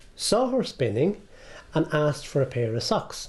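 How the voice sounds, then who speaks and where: A man with an Irish rural midlands accent talks in a dark, mellow tone with very wide pitch swings. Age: 60s. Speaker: heritage centre owner. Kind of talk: guided tour interview.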